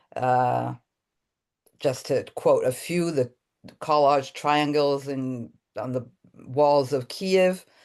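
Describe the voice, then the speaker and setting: A woman with an American accent and a very deep, low pitch, fairly even intonation, a very slow pace, and long, frequent pauses, against a quiet background. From Italy, Rome. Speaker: artist and workshop teacher. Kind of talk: online workshop presentation.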